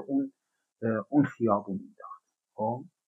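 A man speaks with very wide swings in pitch. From Iran. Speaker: podcast guest. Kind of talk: casual discussion podcast.

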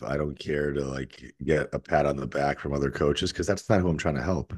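This man's voice sits very deep and low in pitch. Vocal fry runs through it. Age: 40s. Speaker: fitness coach. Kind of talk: casual interview conversation.

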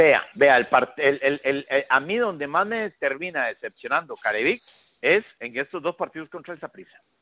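A man talks at a moderate pace with a fairly high pitch. His intonation is lively. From Costa Rica. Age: 50s. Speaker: football commentator. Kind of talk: interview. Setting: phone call. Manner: halting.

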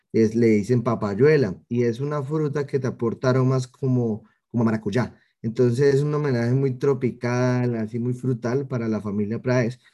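A man speaks with a Cali accent at a moderate pace. His tone is dark and mellow. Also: medium pitch for a man, fairly even intonation. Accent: Colombian Spanish (Cali, caleño). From Cali, Colombia. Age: 20s. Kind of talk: interview.

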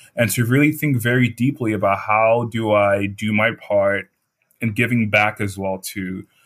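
Speaking in an American accent, a man with a fairly low pitch talks at a moderate pace with fairly even intonation. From Nigeria. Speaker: fellowship student. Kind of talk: interview.

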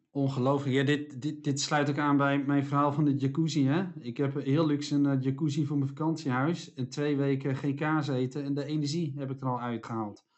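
In a fairly high voice, a man talks at moderate speed with flat, monotone intonation. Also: hardly any pauses. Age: 40s. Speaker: podcast co-host, speaker and author. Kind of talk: casual chat.

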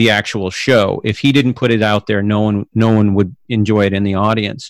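In a normal speaking voice, a man talks at a fairly quick pace with fairly low pitch, the sound dry and close with no echo. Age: 50s. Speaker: podcast host. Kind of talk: casual interview chat.

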